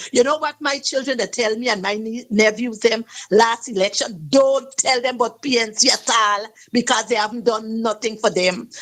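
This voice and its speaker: Her pitch fairly high with ordinary variation, a woman with a Guyanese accent talks at a moderate pace. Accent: Guyanese Creole English. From Guyana. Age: 60s. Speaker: caller. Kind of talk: call-in radio talk. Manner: animated.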